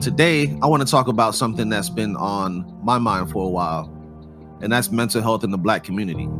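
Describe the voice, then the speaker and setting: Over music in the background, a man speaks at a fairly quick pace in a fairly low pitch with very wide pitch swings. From Jamaica. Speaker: podcast host, artist and music producer. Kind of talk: podcast talk. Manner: casual.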